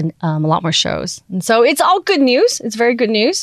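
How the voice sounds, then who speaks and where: This woman speaks in a Taiwanese-American accent. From Taiwan, schooled in the US from middle school. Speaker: podcast network founder. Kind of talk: interview. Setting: studio.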